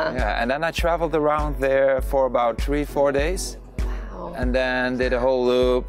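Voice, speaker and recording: Over clear background music, a man talks at a moderate pace in a dry sound with no echo. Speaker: guest. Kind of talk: interview answer. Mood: cheerful, enthusiastic. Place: waterside. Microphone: lapel.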